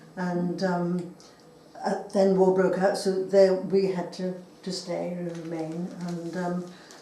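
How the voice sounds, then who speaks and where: A woman at a very slow pace, fairly low in pitch, monotone with flat intonation, big swings in loudness, audible room echo and noticeable background noise. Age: 80s+. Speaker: wartime witness. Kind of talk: oral history interview. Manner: hesitant.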